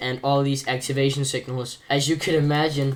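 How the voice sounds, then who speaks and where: A man speaks with a non-native accent at a fairly high pitch. Noticeable background noise runs under his voice. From outside America. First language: not English. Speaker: gaming tutorial creator. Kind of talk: tutorial. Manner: casual, hesitant with fillers.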